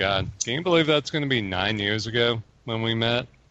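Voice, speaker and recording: A man speaks at a medium pitch with ordinary pitch variation. Background noise is noticeable. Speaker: gaming podcast host. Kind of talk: casual chat.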